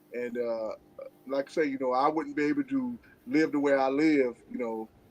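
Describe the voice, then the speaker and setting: In a plain, everyday voice, a man speaks at a moderate pace and a fairly high pitch, with fairly even intonation. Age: 60s. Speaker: guest on live stream. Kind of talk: casual chat.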